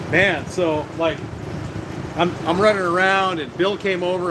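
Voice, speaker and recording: There is noticeable background noise and audible room echo. Over it, a man speaks in a high pitch. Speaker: vlogger selling fireworks at a stand. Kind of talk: live stream casual chat. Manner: fast; casual, many filler words.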